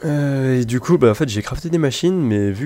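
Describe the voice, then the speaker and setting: A man with a medium pitch talks against noticeable background noise. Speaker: gaming YouTuber. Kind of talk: gameplay commentary. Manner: quiet, not very loud.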